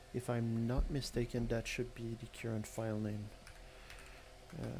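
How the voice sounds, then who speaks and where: Speaking at a moderate pace with a non-native accent, a man has a medium-pitched, dark, mellow voice that is somewhat breathy, with monotone, flat intonation. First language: not English. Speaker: malware reverse engineer streamer. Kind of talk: live-stream tutorial. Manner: halting, many filler words.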